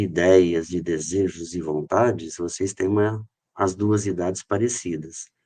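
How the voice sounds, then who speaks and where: A man speaks in a dark, mellow tone at a fairly slow pace with fairly even intonation. The background is quiet. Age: 60s. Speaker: company director, podcast guest. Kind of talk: podcast interview. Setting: studio.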